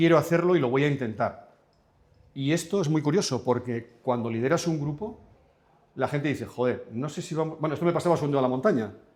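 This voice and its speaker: A man at a very fast pace, his pitch fairly high, with ordinary pitch variation. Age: 70s. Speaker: business owner. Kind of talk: public talk Q&A.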